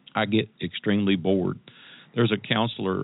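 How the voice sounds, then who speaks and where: A man talks with a Tennessee accent. He keeps a fairly quick pace. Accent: Southern US (Tennessee). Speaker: entrepreneur and life coach. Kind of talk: interview.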